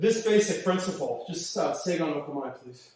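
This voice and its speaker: Audible room echo hangs around the voice of a man as he talks. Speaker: martial arts instructor. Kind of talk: live class instruction. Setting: dojo, live stream.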